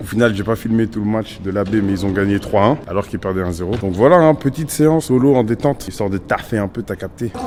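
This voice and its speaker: With music in the background, a man with a fairly low pitch talks very fast with hardly any pauses and ordinary pitch variation. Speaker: YouTuber, amateur futsal player. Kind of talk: casual vlog. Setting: gym.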